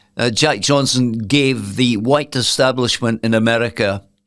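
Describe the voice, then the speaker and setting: In a Scottish accent, a man speaks at a fairly slow pace with a medium pitch and ordinary pitch variation on a very clean recording with a silent background. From Scotland. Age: 70s. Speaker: former boxer and retired sports journalist. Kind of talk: podcast interview answer.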